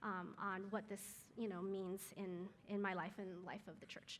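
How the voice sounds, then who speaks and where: The woman's voice has a bright, sharp tone at a fairly slow pace. Audible room echo surrounds it. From Taiwan, moved to US at five. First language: Chinese. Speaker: guest speaker at moms' group. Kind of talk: church talk. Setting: live audience with mic. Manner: many filler words.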